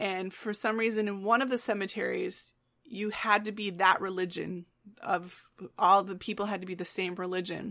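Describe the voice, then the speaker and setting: In a bright, sharp tone, a woman with an Upper Midwest accent speaks at a medium pitch and a moderate pace, her intonation monotone and flat, on a very clean recording against a silent background. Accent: Upper Midwest American. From West Michigan. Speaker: podcast co-host. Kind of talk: casual chat.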